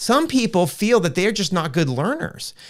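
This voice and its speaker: A man speaks in a high voice with very wide swings in pitch, captured in a very clean recording against a silent background. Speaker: Bible teacher. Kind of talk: live stream presentation. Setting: live video stream. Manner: fast; casual, with false starts.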